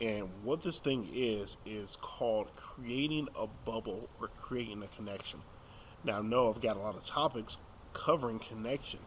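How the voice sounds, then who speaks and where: Fairly slow speech with fairly even intonation over light background noise. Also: man. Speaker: dating coach. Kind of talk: casual vlog chat. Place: street. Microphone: phone near.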